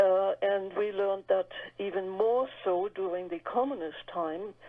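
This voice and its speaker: A woman with a German accent and medium pitch speaks at a fairly slow pace with fairly even intonation. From Germany. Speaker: author. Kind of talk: radio interview.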